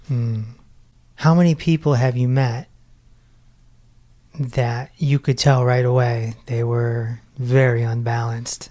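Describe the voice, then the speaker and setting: A man speaks at a very slow pace, with long, frequent pauses. His tone is dark and mellow, somewhat breathy, and his intonation stays fairly even. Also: medium pitch for a man. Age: 40s. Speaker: meditation podcast host, former radio personality. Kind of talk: podcast interview.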